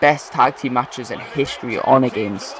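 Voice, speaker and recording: A man speaks at a medium pitch in a Geordie accent. Noticeable background noise runs underneath. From northern England, Newcastle. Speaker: gaming video creator. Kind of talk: gameplay commentary.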